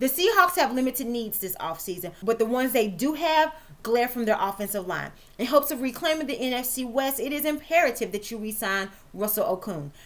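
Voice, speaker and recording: Lively intonation runs through a woman's high-pitched voice. She speaks at a fairly quick pace. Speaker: sports show host and writer. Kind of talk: scripted sports commentary. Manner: fast.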